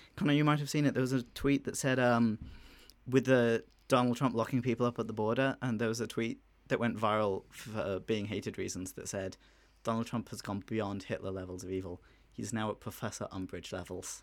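A man with an Irish accent talks at a fairly quick pace and medium pitch with ordinary pitch variation. The recording is very clean, with a silent background. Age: 20s. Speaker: student podcast host. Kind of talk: casual chat. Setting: studio.

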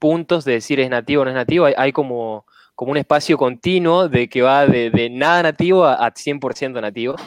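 Speaking at a moderate pace, a man with an Argentine accent has a fairly high pitch and ordinary pitch variation. The sound is dry and close with no echo, against a quiet background. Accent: Rioplatense Argentine Spanish. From Argentina, Rosario. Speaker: software engineer. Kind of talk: casual chat.

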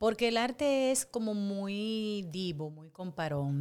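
A woman with lively intonation at a fairly slow pace, on a very clean recording with a silent background. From Dominican Republic, Santo Domingo. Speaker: actress and impersonator. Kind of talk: casual interview.

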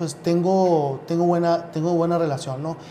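Audible room echo surrounds a man whose voice is high in pitch, with ordinary pitch variation. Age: 30s. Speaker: youth political party leader. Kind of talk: interview. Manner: halting, many repetitions.

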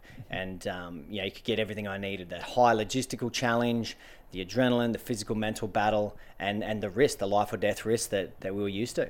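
Very fast pace from a man with an Australian accent and a fairly low pitch, in a very clean recording with a silent background. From Australian outback, central Queensland and Northern Territory. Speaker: adventurer and author. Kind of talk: interview. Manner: energetic.

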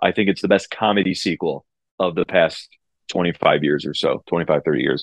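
Speaking at a moderate pace, a man uses a very deep, low voice with ordinary pitch variation, recorded dry and close with no echo. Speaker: former sports TV colleague. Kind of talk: casual chat. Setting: video call.

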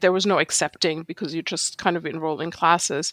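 The recording of a woman with a German accent is very clean, with a silent background and a dry, close sound with no echo. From Germany. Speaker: street photographer. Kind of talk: casual interview conversation.

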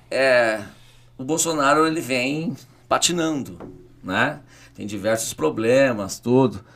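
Speaking at a very slow pace with long, frequent pauses, a man uses a medium pitch and lively intonation. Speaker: city councillor and teacher. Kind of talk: podcast interview. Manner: animated.

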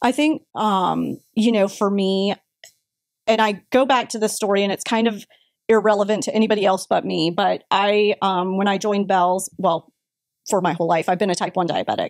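A woman speaks with a Florida accent. Her intonation stays fairly even. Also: medium pitch for a woman, moderate pace, dry, close sound with no echo. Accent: American, Florida. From Florida (Brandon, near Tampa). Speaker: retail marketing executive. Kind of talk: interview.

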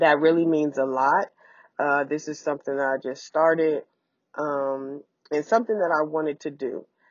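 At a moderate pace, a woman speaks with fairly even intonation and a very deep, low pitch. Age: 40s. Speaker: podcast host. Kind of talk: casual solo monologue. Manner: casual with frequent fillers.

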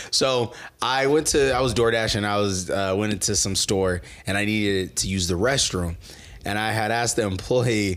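This man has a plain, everyday voice. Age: 30s. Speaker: podcast co-host. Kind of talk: casual chat.

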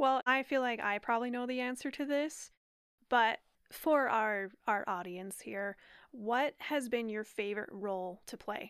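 A woman speaks slowly in an unremarkable speaking voice, fairly high in pitch, with ordinary pitch variation and a fairly slow pace. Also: very clean recording, silent background. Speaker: podcast co-host. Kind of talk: casual chat.

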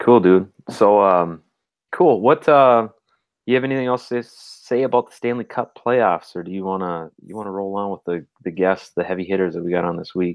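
A man with an Upper Midwest accent talks at a moderate pace. His pitch is fairly low. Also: ordinary pitch variation. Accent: Upper Midwest (Minnesota). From Minnesota. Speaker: podcast co-host. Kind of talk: casual chat.

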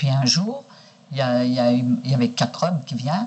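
A woman with a very deep, low pitch and very wide pitch swings, at a moderate pace, over noticeable background noise. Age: 60s. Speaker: sex worker. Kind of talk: archival interview recording.

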